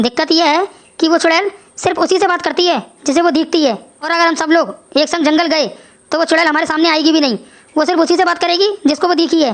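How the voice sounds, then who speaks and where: In a cartoonish character voice, a woman talks at a very fast pace with an extremely high pitch. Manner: measured, grave.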